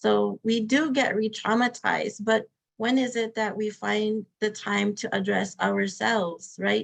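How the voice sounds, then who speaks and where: A woman with an American accent speaks in a medium pitch with fairly even intonation. Hers is a plain, everyday voice. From Arizona, Hopi. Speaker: victim advocate. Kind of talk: webinar talk, Q&A answers. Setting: online webinar.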